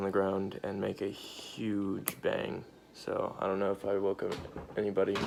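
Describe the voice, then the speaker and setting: The speaker talks quietly at a fairly slow pace. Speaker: vaping tutorial youtuber. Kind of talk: tutorial. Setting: at home at night. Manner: hesitant, many fillers; trying to speak quietly.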